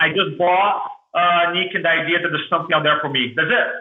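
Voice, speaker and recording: This man speaks with a strong Brazilian accent. His pitch is high. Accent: thick Brazilian. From Brazil, Porto Alegre. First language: Portuguese. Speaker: motivational speaker. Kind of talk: podcast interview storytelling. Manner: animated.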